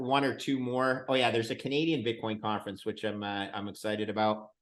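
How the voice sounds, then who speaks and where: At a fairly quick pace, a man talks with an ordinary speaking voice, medium pitch and fairly even intonation. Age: 60s. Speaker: bitcoin fund manager. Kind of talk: interview.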